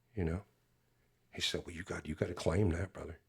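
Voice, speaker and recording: A man's very deep, low voice comes through somewhat breathy on a very clean recording with a silent background. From US (California and Alabama). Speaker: youth minister and singer. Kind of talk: personal testimony in podcast interview. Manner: halting with many fillers.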